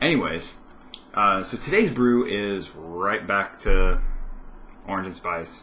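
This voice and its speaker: A man speaks at a very slow pace, leaving long, frequent pauses. The room echo is audible. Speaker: vlogger. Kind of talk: casual vlog chat. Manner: hesitant, many fillers.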